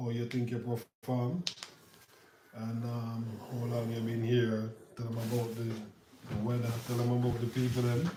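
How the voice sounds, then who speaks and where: A man's medium-pitched voice moves at a fairly slow pace in monotone, flat intonation. Noticeable background noise and audible room echo are present. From Jamaica. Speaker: youth football trip organizer and vlogger. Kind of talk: on-camera interview. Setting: Spain, at a football training facility.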